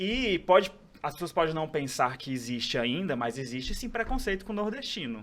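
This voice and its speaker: A man's fairly high voice swings very widely in pitch while he keeps a moderate speed. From Brazil, Ceará (Northeast). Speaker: pharmacist and aesthetics professor. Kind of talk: podcast interview.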